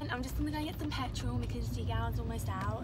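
Over clear music in the background, a woman talks at a moderate pace. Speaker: vlogger. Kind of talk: casual vlog chat. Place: car. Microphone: phone near.

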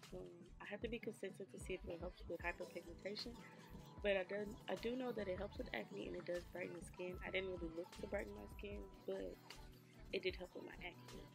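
A woman talks at a fairly quick pace, with clear music playing in the background. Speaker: beauty vlogger. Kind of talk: casual vlog chat.

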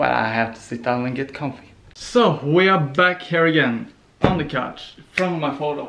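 The speech moves at a moderate pace against noticeable background noise. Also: man, fairly high pitch for a man. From Norway. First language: Norwegian. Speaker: vlogger. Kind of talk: casual vlog. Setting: on the couch. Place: home room. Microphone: phone near.

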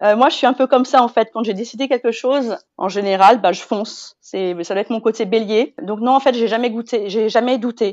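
A woman's fairly high, fairly even voice at a fairly quick pace, a plain, everyday voice. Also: hardly any pauses. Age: 40s. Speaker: mother sharing weight-loss story. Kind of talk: casual interview.

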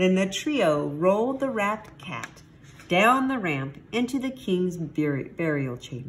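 Unforced voice reading aloud

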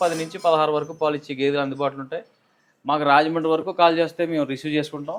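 A man's fairly high-pitched, an ordinary speaking voice, with fairly even intonation. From East Godavari, Andhra Pradesh. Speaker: dairy farmer. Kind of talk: interview.

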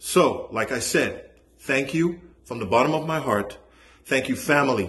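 A man speaks at a fairly slow pace. His voice is somewhat breathy. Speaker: voice actor. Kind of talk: casual talk to camera. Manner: hesitant, heartfelt. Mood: warm, grateful. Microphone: phone near.

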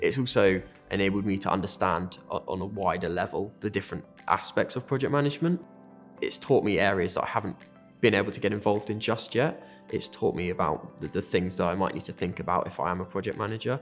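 Faint music plays in the background as a man with a fairly low pitch and ordinary pitch variation speaks at a very fast pace. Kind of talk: interview answer. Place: office. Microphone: lapel.

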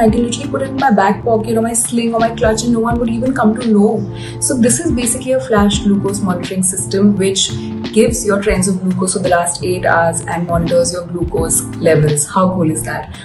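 Clear music can be heard behind the speaker. She is a woman talking at a moderate pace. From India. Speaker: actress and model reviewing a product; actress, model reviewing a product. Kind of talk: product unboxing review. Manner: animated. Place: home room.

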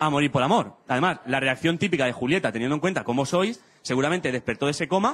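A man talks very fast with lively intonation. There is light noise in the background. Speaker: stand-up comedian. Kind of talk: stand-up comedy monologue. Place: stage. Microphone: handheld.

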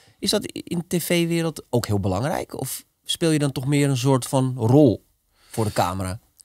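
Speaking at a fairly slow pace, a man with an unremarkable speaking voice uses lively intonation and a fairly high pitch. The background is quiet, and the sound is dry with no echo. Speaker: podcast host. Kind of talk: casual interview. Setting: studio. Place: studio. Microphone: studio mic.

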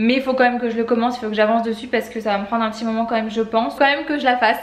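A woman's fairly high voice at a very fast pace, fairly even in intonation, with audible room echo. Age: 20s. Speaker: vlogger. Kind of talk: talking to her child; casual vlog. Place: home room. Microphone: phone near.

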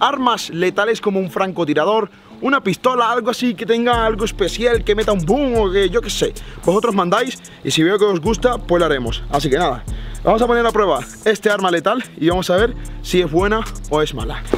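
Faint music plays in the background of a dry recording with no echo. A man talks at a fairly quick pace in a high pitch with ordinary pitch variation. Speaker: youtuber. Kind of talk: casual vlog chat. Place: garden. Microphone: phone near.

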